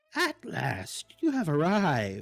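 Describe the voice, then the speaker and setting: A put-on character voice at a middle pitch breaks into cackling. Faint music plays in the background. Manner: cackling, ominous.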